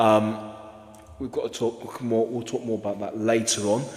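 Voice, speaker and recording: A man at medium pitch is heard over noticeable background noise. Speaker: football podcast host. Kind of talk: casual podcast discussion.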